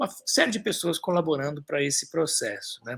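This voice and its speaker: A man's high, bright, sharp voice with ordinary pitch variation. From Brazil, São Paulo. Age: 60s. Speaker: author and environmentalist. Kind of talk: live stream talk. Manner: halting, many fillers.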